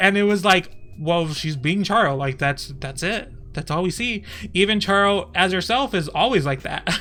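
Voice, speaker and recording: A man speaks in a raised, projected voice at a high pitch with lively intonation. His pace is moderate. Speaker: streamer. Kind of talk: casual commentary on a livestream. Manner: animated, halting with frequent fillers.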